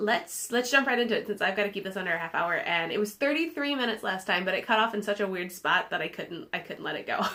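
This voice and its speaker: The speaker races along at a very fast pace with lively intonation and hardly any pauses. Noticeable background noise runs underneath. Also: woman, medium pitch for a woman. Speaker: knitting podcaster. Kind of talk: casual chat.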